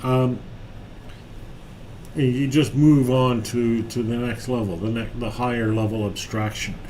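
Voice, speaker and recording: With noticeable background noise and audible room echo, a man speaks at a fairly slow pace in a fairly even intonation, leaving long, frequent pauses. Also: medium pitch for a man. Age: 60s. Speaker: software developer live-streaming tutorials. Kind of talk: live-stream coding chat. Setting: office, live stream. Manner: halting, many fillers.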